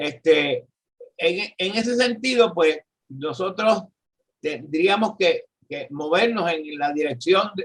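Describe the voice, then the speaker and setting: A man's high voice in a Puerto Rican accent, very slow in pace with lively intonation. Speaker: economist and professor. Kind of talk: political discussion. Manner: halting.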